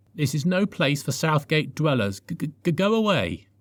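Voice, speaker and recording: In a very clean recording with a silent background, a man puts on a croaky, timid character voice at a fairly high pitch and a fairly slow pace. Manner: timid, stuttering.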